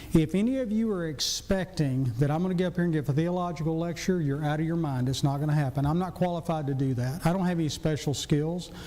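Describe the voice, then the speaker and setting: Amid audible room echo, a man with a Southern US accent and a fairly high pitch speaks at a fairly quick pace with hardly any pauses. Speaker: physician and church deacon. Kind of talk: church class lecture.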